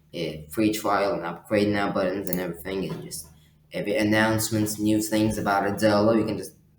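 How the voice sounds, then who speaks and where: A man talks at a fairly low pitch. Audible room echo and noticeable background noise are present. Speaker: software tutorial youtuber. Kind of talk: tutorial. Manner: fast; halting, many fillers.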